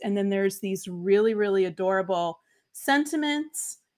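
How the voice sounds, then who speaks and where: A woman with an American accent, fairly high in pitch, at a moderate pace with ordinary pitch variation against a quiet background. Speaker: crafting livestream host. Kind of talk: casual livestream chat. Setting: live stream. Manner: warm, chatty. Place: home room. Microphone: webcam.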